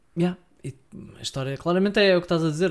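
A man speaks in a European Portuguese accent. His intonation is fairly even. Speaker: film podcast co-host. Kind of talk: casual chat.

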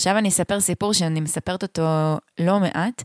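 A woman with a fairly low pitch speaks at a moderate pace in a plain, everyday voice with ordinary pitch variation, the sound dry and close with no echo in a very clean recording with a silent background. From central Israel moshav. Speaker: podcast co-host and radio broadcaster. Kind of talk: casual chat. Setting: at her home.

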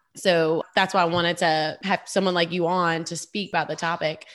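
A woman's fairly low voice at a moderate pace, animated and enthusiastic in tone. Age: 20s. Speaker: podcast host and speech therapist. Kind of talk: casual interview chat. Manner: animated, enthusiastic.

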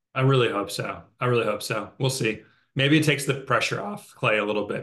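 Vocal fry runs through this man's very fast speech, which has ordinary pitch variation. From Italian and Peruvian heritage. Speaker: fantasy football league member. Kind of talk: casual chat.

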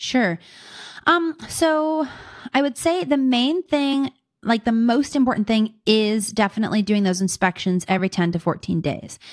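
A woman's fairly high voice at a moderate pace, with very wide pitch swings and very even loudness, in a very clean recording against a silent background. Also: dry, close sound with no echo. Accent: American. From Pittsburgh, Pennsylvania. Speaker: suburban homesteader and beekeeper. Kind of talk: interview.

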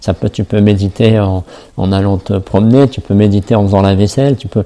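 Fairly low-pitched man at a fairly quick pace. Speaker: self-love coach and podcaster. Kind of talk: solo podcast monologue. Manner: halting, many fillers and repetitions.

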